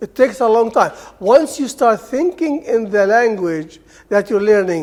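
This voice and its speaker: An Arabic accent over noticeable background noise. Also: man. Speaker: Arabic language lecturer. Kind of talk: seminar talk. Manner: informal, conversational.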